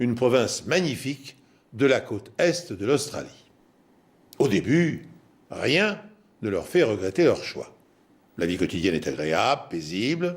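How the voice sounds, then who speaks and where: Through long, frequent pauses, a man speaks at a fairly slow pace and medium pitch, with vocal fry and very wide pitch swings. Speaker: TV presenter and storyteller. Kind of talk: true crime documentary presentation.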